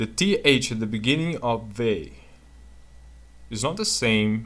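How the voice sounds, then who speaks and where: The speaker is a man with a non-native accent. He talks at a fairly slow pace. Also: medium pitch for a man. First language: not English. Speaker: video blogger discussing linguistics. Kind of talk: casual explanatory commentary. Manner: halting, with frequent fillers.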